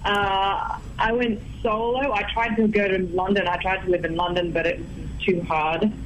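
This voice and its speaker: A woman with a strong Australian accent and ordinary pitch variation, amid noticeable background noise and audible room echo. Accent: Australian, thick. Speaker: singer-songwriter. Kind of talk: radio interview.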